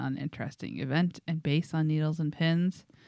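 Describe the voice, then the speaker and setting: Against a quiet background, a woman with an ordinary speaking voice and a fairly low pitch talks at a moderate pace. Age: 30s. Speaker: podcast co-host. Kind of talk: casual chat. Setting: basement studio.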